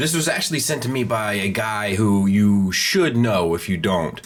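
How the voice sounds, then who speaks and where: There is noticeable background noise. Over it, a man with a fairly low pitch talks at a moderate pace. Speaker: toy reviewer. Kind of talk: product review. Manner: casual, chatty.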